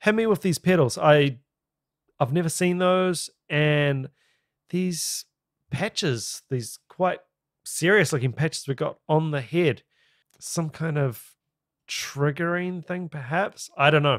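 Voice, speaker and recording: With a New Zealand accent, a man speaks at a very slow pace with long, frequent pauses and ordinary pitch variation, in a dry sound with no echo against a quiet background. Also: fairly high pitch for a man. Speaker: YouTube reaction video host. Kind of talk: reaction commentary. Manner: enthusiastic, casual. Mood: impressed, curious. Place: home room. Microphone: studio mic.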